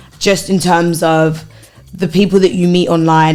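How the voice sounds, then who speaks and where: Her pitch is medium for a woman. Music is playing in the background. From Essex / East London, England. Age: 20s. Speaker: podcast guest, HR worker. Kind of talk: casual chat.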